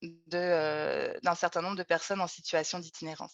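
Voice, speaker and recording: The speech moves at a fairly quick pace in a monotone, flat intonation, recorded dry and close with no echo against a quiet background. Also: woman. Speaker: researcher. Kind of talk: webinar presentation.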